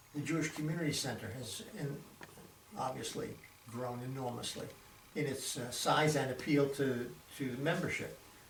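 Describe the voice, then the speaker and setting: Medium-pitched American-accented speech from a man at a moderate pace, with ordinary pitch variation, long, frequent pauses and noticeable background noise. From Boston, Massachusetts. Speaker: retired doctor. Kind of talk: oral history interview answer.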